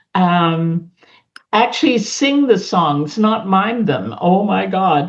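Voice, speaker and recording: Using very even loudness and lively intonation, a woman with an Australian accent speaks at a very slow pace. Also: medium pitch for a woman. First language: a European language (English is third). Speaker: community center leader. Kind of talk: interview. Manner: halting.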